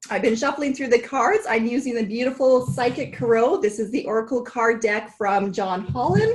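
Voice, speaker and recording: With hardly any pauses, a woman with a fairly high voice speaks at a moderate pace and ordinary pitch variation over noticeable background noise. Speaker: tarot card reader. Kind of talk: tarot forecast reading.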